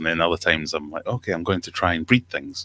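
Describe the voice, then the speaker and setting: A man speaks with a Scottish accent in a bright, sharp tone. The sound is dry, with no echo. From Scotland. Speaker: aquarium YouTuber. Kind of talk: casual chat. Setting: video call. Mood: relaxed, friendly. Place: home room. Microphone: studio mic.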